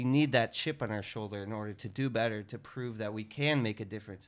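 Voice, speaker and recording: At a moderate pace and medium pitch, a man talks in a normal speaking voice on a very clean recording with a silent background. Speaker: podcast host. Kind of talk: casual interview.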